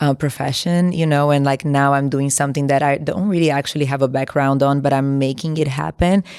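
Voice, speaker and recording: A woman's very deep, low voice in a Brazilian Portuguese accent, fairly quick, with very even loudness and hardly any pauses. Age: 30s. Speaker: entrepreneur, former model. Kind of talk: interview. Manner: casual, many filler words.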